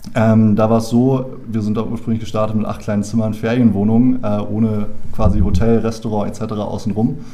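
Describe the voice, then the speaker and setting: Noticeable background noise and audible room echo surround a man with a fairly low pitch. He speaks at a moderate pace with monotone, flat intonation. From Berlin, Germany. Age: 20s. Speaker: founder and business angel club member. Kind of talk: casual interview chat. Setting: in a room face to face.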